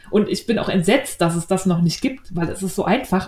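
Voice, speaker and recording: A somewhat breathy voice at a moderate pace. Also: woman. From Berlin. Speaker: podcast host, knitting and sewing blogger. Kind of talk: casual chat.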